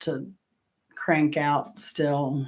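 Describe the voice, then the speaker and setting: A woman is speaking. She has an American accent. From Florida. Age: 60s. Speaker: trivia livestream host. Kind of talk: casual chat.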